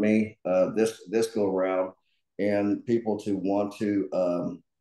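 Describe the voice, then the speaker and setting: Over a quiet background, a man's fairly low voice has a dark, mellow tone and monotone, flat intonation. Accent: Southern US. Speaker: political candidate. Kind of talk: panel talk. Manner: halting, many fillers and repetitions.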